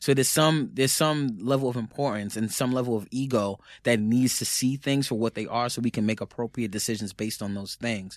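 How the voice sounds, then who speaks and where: With a New York accent, a man talks at a fairly quick pace with hardly any pauses, using a medium pitch and ordinary pitch variation. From New York, the Bronx. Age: 30s. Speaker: author and musician. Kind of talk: casual chat.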